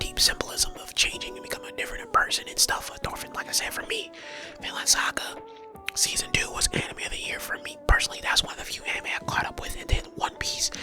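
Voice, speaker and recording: Whispering at a very fast pace with big swings in loudness, a man speaks over music in the background. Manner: whispered, casual, conversational.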